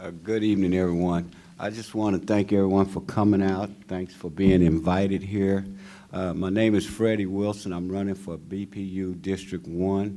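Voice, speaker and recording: Speaking in an American accent, a man with a fairly low pitch and a dark, mellow tone keeps a moderate pace and a monotone, flat intonation. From Wyandotte County, Kansas (US Midwest). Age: 60s. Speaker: political candidate. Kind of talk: candidate forum speech.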